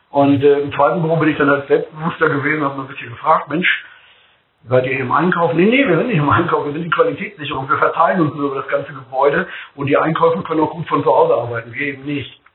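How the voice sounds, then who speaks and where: Talking very fast, a man uses a fairly high pitch and fairly even intonation. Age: 50s. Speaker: food company executive. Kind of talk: podcast interview.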